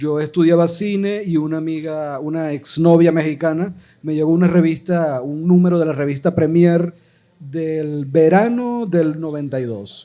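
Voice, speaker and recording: A dark, mellow tone at a fairly slow pace with ordinary pitch variation. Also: man, fairly high pitch for a man. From Venezuela, Maracaibo (Zulia). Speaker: filmmaker, podcast panelist. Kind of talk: live podcast panel discussion. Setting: live recording with audience.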